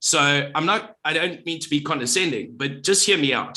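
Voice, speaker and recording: The man's voice sits at a fairly high pitch and has a bright, sharp tone. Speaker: marketer with radio background.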